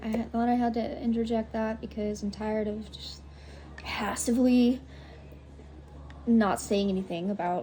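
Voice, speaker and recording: A woman keeps a moderate pace while noticeable background noise fills the clip. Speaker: vlogger sharing personal story. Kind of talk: personal vlog testimony. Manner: halting.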